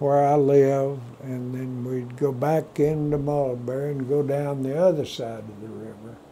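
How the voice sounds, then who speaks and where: Amid noticeable background noise, a man with a West Texas accent speaks at a very slow pace, fairly high in pitch, with fairly even intonation. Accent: West Texas rural drawl. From Texas Panhandle. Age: 90s. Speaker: retired cowboy and rancher. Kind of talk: oral history interview.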